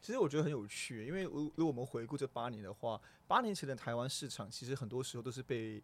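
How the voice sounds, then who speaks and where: His pitch medium and its variation ordinary, a man races along at a very fast pace. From Singapore. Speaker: company general manager. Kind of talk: interview. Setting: studio. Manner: halting, repeats words.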